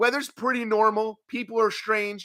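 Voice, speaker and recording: A man's raised, projected voice with a bright, sharp tone, American accent, and dry, close sound with no echo. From New York. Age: 30s. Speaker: wrestling talk show host. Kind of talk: live stream chat. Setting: home apartment live stream.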